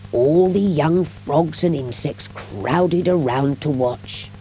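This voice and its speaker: Music plays in the background as a woman with a very deep, low voice speaks at a very slow pace. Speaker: audiobook narrator. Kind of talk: children's audiobook reading.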